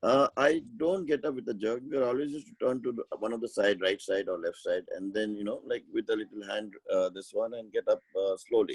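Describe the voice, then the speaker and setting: Recorded with dry, close sound and no echo, a man talks with hardly any pauses and big swings in loudness. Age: 60s. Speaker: webinar participant asking health questions. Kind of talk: question and answer in an online health session. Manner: halting, many fillers.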